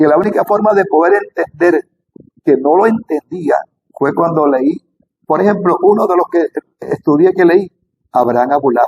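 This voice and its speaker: A man speaks with a high pitch at a moderate pace. The sound is dry and close, with no echo. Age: 60s. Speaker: spiritual teacher on Kabbalah. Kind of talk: spiritual talk to camera. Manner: halting.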